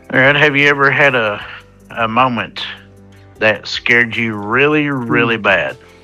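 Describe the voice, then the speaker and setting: A man's medium-pitched voice at a fairly slow pace, with music in the background. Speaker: podcast host. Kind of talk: casual podcast conversation. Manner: conversational, explanatory.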